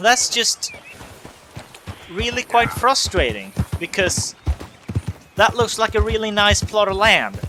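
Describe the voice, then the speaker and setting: A fairly slow, non-native accent with long, frequent pauses over noticeable background noise. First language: not English. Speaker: let's play gamer. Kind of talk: gameplay commentary. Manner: casual, hesitant with fillers.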